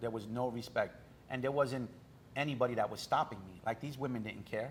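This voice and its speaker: At a fairly quick pace, a man with a New York accent speaks at medium pitch in a somewhat breathy voice with fairly even intonation. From New York, Brooklyn. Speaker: author. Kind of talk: interview.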